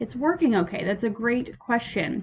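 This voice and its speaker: A woman with a fairly high pitch sounds somewhat breathy, her tone upbeat and her intonation lively. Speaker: librarian hosting trivia night. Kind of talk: live-streamed trivia hosting. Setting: live stream. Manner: casual, upbeat.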